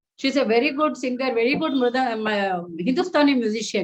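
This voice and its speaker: A high-pitched woman talks at a fairly quick pace with lively intonation. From India, Karnataka. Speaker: music therapist and singer. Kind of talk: online talk Q&A.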